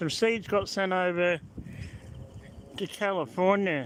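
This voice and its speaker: Pitched high, a man talks with an Australian accent. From Australia (born Melbourne, moved to South Australia 1977). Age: 60s. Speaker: vlogger. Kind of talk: live-stream commentary. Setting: in a car. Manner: casual, rambling.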